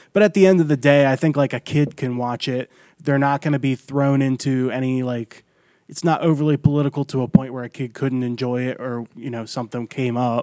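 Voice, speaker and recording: Captured in a very clean recording with a silent background and a dry, close sound with no echo, a man with an American accent speaks fairly quickly at medium pitch, his dark, mellow tone carrying fairly even intonation. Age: 20s. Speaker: comedian. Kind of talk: casual chat.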